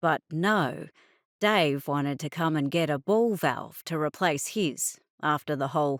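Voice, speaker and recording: Very deep and low in pitch, a woman speaks at a fairly slow pace in a dry, close sound with no echo, on a very clean recording with a silent background. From Australia. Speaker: audiobook narrator. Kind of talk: audiobook narration.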